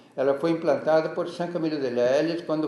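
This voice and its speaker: Noticeable background noise surrounds a fairly high-pitched male voice. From Rio Grande do Sul, Brazil. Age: 80s+. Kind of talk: interview answer.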